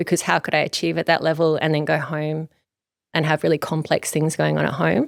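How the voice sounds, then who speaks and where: A woman with an Australian accent speaks at a fairly quick pace in a dry, close recording with no echo and a silent background. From Australia, Gold Coast, Queensland. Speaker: clinical psychologist. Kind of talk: podcast interview.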